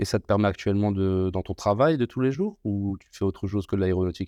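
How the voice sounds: This man talks fast, his fairly low voice dark and mellow in tone, with lively intonation. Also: dry, close sound with no echo.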